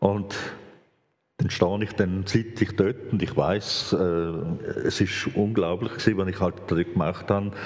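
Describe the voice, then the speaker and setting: At a fairly slow pace, a man with an ordinary speaking voice and fairly low pitch talks with fairly even intonation. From Switzerland, grew up speaking standard German (Viennese parents). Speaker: former bank robber, speaker on reconciliation. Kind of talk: live talk interview before audience.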